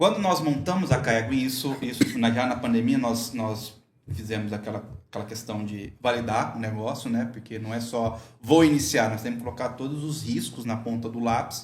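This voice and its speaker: Against audible room echo, a man's somewhat breathy, medium-pitched voice moves at a moderate pace with ordinary pitch variation. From Brazil, rural. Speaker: microgreens entrepreneur, veterinarian. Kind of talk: casual chat.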